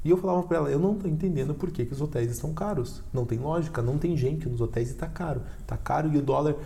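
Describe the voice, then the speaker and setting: Talking at a very fast pace with hardly any pauses, a man uses a fairly high pitch and ordinary pitch variation amid audible room echo. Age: 30s. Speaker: podcast host. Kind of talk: casual chat. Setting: studio.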